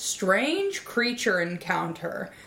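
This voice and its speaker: Noticeable background noise is audible. A woman speaks over it at medium pitch. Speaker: podcast host. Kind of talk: scripted comedy podcast, casual banter.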